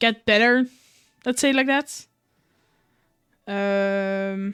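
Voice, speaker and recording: Speaking very slowly, a woman uses a medium pitch with ordinary pitch variation. The recording is very clean and dry, close with no echo, over a silent background. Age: 20s. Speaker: streamer. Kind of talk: casual chat. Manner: halting.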